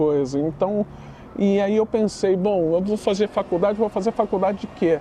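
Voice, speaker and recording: Noticeable background noise surrounds a man whose pitch variation is ordinary. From Brazil, Northeast. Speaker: literature teacher. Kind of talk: podcast interview. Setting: studio, on camera. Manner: casual, animated.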